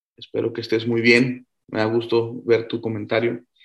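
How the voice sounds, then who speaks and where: Speaking at a fairly slow pace, a man has a medium-pitched voice. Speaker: physicist hosting a science Q&A show. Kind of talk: casual science Q&A livestream. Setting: video call livestream.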